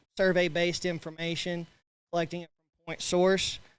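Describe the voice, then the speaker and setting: A man with a Texan accent speaks at a high pitch in a very clean recording with a silent background. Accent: Texan (US Southern). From West Texas. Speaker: agricultural banker and sheep breeder. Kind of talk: committee report at annual meeting.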